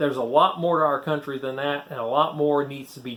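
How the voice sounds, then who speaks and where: With a Southern US accent, a man speaks at a moderate pace in a fairly high pitch and with fairly even intonation. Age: 60s. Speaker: former preacher, YouTuber. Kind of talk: casual talk to camera.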